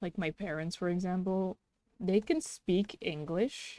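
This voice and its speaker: At a fairly slow pace, a woman with a slight Dutch accent speaks at a medium pitch in a dark, mellow tone, the sound dry and close with no echo. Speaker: streamer and artist. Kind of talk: casual chat while drawing on livestream.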